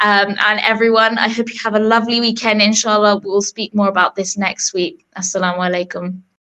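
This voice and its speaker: A woman with a British accent, fairly quick, bright and sharp in tone, with fairly even intonation. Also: medium pitch for a woman. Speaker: radio host. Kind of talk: radio interview. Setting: radio studio.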